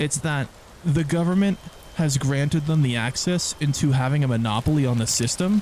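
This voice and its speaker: Noticeable background noise runs behind the speech. The pace is fairly quick, with ordinary pitch variation. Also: man. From Canada. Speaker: gaming streamer. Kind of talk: live stream chat. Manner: casual, repetitive stammering.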